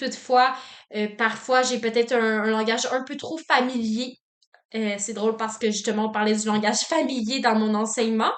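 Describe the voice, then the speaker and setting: A woman with a fairly high voice speaks in a flat monotone. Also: moderate pace. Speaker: student teacher. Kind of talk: reflective self-assessment monologue. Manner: loud, dynamic; frequent filler words.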